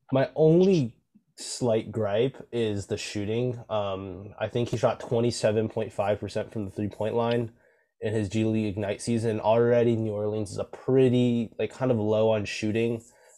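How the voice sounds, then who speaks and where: The intonation is fairly even. It is an unremarkable speaking voice. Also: man, medium pitch for a man. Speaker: podcast host. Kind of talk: casual chat. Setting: video call.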